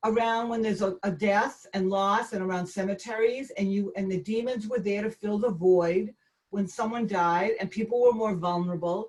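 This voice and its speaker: Somewhat breathy speech in a Boston accent, at a moderate pace with hardly any pauses and fairly even intonation. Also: woman, medium pitch for a woman. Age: 60s. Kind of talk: talk with Q&A on a video call. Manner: halting, with frequent fillers and restarts.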